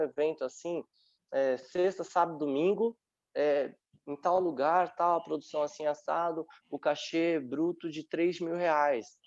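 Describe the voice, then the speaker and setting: A man with an unremarkable speaking voice talks at a fairly slow pace and a fairly high pitch, with ordinary pitch variation, against a quiet background. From Brazil, São Paulo metro area (Francisco Morato). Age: 30s. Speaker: dance teacher and dancer. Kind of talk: online panel talk.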